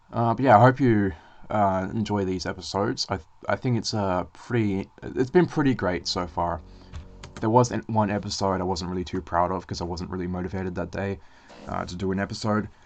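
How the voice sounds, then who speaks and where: A man talks at a fairly quick pace with a fairly low pitch and ordinary pitch variation. Music plays in the background. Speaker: YouTuber making game levels. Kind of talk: casual recorded commentary. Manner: stutters, many filler sounds; hesitant, says ah a lot.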